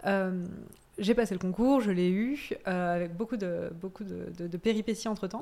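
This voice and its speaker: Speaking at a fairly slow pace, a woman has a dark, mellow tone, a medium pitch and ordinary pitch variation. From Corsica and Auvergne, France. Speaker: cheesemonger. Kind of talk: casual chat.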